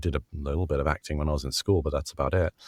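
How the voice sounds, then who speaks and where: Here a man speaks with a British accent and ordinary pitch variation. The recording is very clean, with a silent background. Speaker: voice actor. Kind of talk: interview answer.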